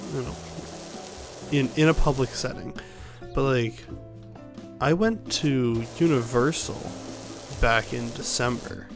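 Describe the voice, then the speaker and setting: A soft-spoken man talks at a fairly slow pace with music in the background. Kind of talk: casual gaming commentary.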